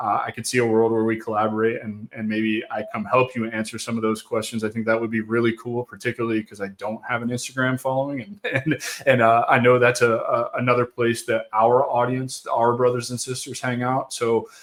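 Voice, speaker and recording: Monotone, flat intonation marks a man talking at a fairly quick pace with hardly any pauses. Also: medium pitch for a man. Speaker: podcast host. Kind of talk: casual interview chat. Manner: fast.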